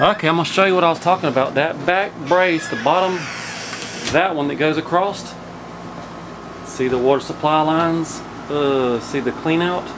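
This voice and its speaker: Over noticeable background noise, a man speaks at a moderate pace with ordinary pitch variation and long, frequent pauses. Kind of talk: casual vlog chat. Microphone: phone near.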